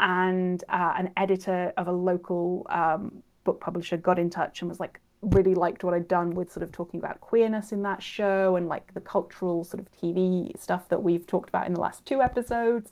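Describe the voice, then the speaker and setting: The speaker has a Welsh accent and a fairly quick pace. Intonation stays fairly even, with hardly any pauses. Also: woman, medium pitch for a woman. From Wales, Cardiff. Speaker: author and researcher. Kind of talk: interview.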